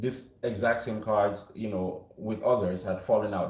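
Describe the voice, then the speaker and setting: With noticeable background noise and audible room echo, a man talks at a moderate pace. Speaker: tarot reader. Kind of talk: tarot reading. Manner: projecting. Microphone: no mic on.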